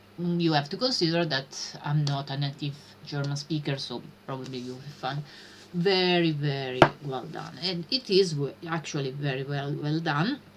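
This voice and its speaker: A woman with an Italian accent speaks at a moderate pace, her very deep, low pitch kept to fairly even intonation. Her loudness swings widely, and there is noticeable background noise. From Italy. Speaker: streamer learning programming. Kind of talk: live stream chat. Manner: halting, many fillers.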